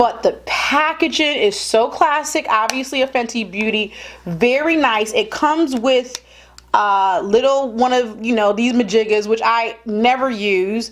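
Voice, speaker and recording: Fairly high female voice, moderate in pace, its pitch varying in an ordinary way. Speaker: beauty vlogger. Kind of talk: product review tutorial. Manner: animated.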